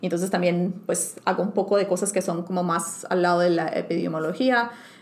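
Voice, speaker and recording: Amid noticeable background noise, a woman with a fairly low voice speaks at a moderate pace with ordinary pitch variation. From Colombia, Bucaramanga. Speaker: scientist. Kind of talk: interview. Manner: hesitant, many fillers.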